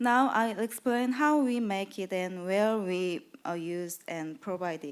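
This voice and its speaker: This woman speaks at a very slow pace with hardly any pauses. Her medium-pitched voice carries lively intonation. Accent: Korean. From South Korea. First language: Korean. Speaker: patient advocacy program manager. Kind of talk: conference presentation. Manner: reading from a script; halting.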